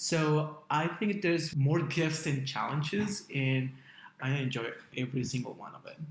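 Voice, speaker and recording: With a Latin American accent, the voice is somewhat breathy and moves at a moderate pace, showing ordinary pitch variation and big swings in loudness amid audible room echo. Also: man, fairly high pitch for a man. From Guatemala. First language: Spanish. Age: 40s. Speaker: spiritual consultant. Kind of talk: interview.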